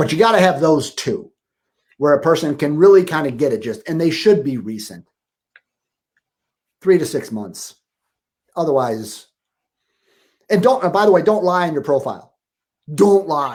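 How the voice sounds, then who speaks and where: A man's animated, fairly high voice at a moderate pace, with very wide pitch swings and long, frequent pauses. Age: 60s. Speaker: relationship coach. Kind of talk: interview.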